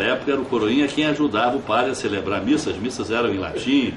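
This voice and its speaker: At a very fast pace, a man with a fairly high pitch talks amid noticeable background noise and audible room echo. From Brazil, Cabo Frio (Rio de Janeiro state). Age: 60s. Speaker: former mayor, politician. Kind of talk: interview. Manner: halting, frequent fillers and repetitions.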